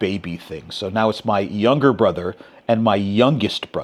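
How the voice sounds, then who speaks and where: A man talks at a moderate pace in a fairly low pitch, with ordinary pitch variation. He has an ordinary speaking voice. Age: 60s. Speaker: podcast host. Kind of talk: interview conversation.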